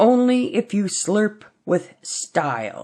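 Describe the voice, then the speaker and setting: A woman in a put-on character voice speaks very slowly at a medium pitch, her pitch swinging very widely. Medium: read story. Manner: dignified, serious.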